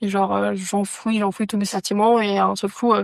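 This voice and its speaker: A woman's medium-pitched voice, dry and close with no echo, on a very clean recording with a silent background. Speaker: podcast guest with anxiety. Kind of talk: casual chat.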